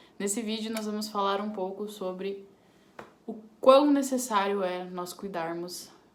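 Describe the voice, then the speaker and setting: Her voice is medium in pitch and varies in an ordinary way. The woman speaks fairly slowly. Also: long, frequent pauses, big swings in loudness. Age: 20s. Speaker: crochet crafter. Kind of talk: casual talk to camera.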